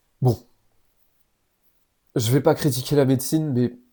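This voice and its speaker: Using fairly even intonation, a man speaks fairly slowly at a medium pitch in a dark, mellow tone. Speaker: YouTuber on health and self-improvement. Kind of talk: personal testimony. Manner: casual, with hesitations.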